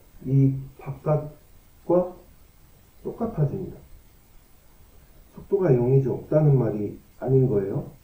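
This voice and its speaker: A man speaks at a very slow pace in a fairly high, dark, mellow voice that is somewhat breathy. Long, frequent pauses and audible room echo mark the clip. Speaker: lecturer on own science theories. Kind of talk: lecture. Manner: halting.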